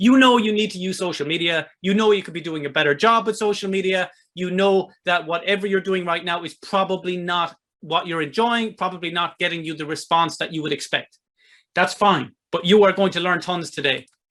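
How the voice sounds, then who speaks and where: Talking at a fairly quick pace, a man with a high voice speaks with an Irish accent. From Ireland. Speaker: online marketing presenter, author. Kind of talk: webinar sales presentation. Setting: online webinar with chat. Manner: animated.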